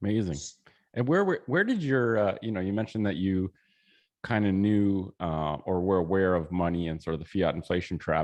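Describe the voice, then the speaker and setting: Over a quiet background, a man speaks at a fairly quick pace. His pitch is very deep and low with ordinary variation. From Canada. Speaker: podcast host. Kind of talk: interview.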